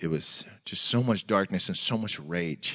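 In a Pacific Northwest accent, a man speaks at a fairly slow pace with a very deep, low pitch. His pitch variation is ordinary, and the background is quiet. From US Pacific Northwest (Tacoma, Washington). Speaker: senior pastor, guest preacher. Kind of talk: sermon. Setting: church with congregation.

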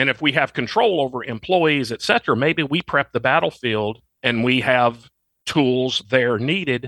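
Speaking with a Southern US accent, a man uses a bright, sharp tone at a medium pitch and moderate pace, recorded very cleanly with a silent background and a dry, close sound with no echo. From Arkansas. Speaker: firearms trainer and retired army officer. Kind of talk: interview.

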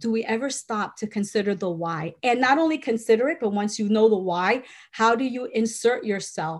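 Somewhat breathy female voice, fairly high in pitch, at a moderate pace on a very clean recording with a silent background. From Puerto Rico. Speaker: nonprofit director and author. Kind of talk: interview.

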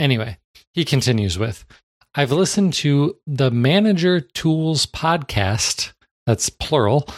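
A man with an unremarkable speaking voice, a fairly high pitch and lively intonation at a fairly slow pace, dry and close with no echo in a very clean recording with a silent background. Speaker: podcast host. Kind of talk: casual podcast chat.

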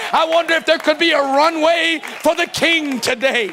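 A man speaks in a raised, projected voice with an animated tone. Noticeable background noise runs behind him. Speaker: pastor. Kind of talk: sermon. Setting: church.

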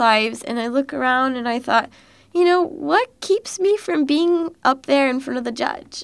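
A high-pitched female voice in an American accent, with lively intonation, a moderate pace and a very clean recording with a silent background. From Texas, Dallas area. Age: 20s. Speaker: university student. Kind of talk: casual chat.

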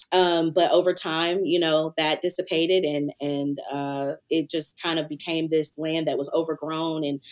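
Someone with an American accent talks at a moderate pace in a monotone, flat delivery on a very clean recording with a silent background. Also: woman. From US South, Antioch near Nashville, Tennessee. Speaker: creative agency founder and farmer. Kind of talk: casual interview. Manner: hesitant with fillers.

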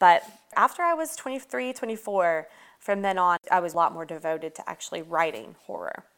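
A woman with a Southern US accent talks in a fairly low pitch. The recording is very clean, with a silent background. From US South, Atlanta. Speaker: horror author. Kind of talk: interview.

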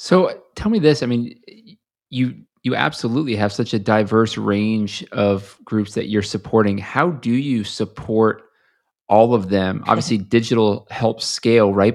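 A man with an unremarkable speaking voice talks at a moderate pace and medium pitch against a quiet background. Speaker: podcast host. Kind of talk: interview.

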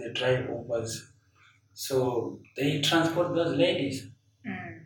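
Pitched fairly high, a man talks at a very slow pace with ordinary pitch variation. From Zimbabwe. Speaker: painter. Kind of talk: interview. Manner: halting.

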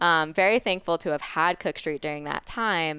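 In a very clean recording with a silent background and a dry, close sound with no echo, a woman speaks at a fairly quick pace with fairly low pitch and ordinary pitch variation. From New York, Westchester County. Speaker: private chef and nutrition consultant. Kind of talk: casual interview chat.

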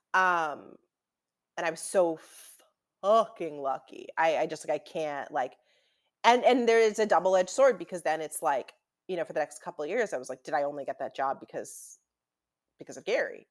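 A plain, everyday voice at a moderate pace, with big swings in loudness, in a very clean recording with a silent background. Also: woman, fairly low pitch for a woman. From Newton, Massachusetts (Boston area). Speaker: TV comedy writer. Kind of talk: casual interview.

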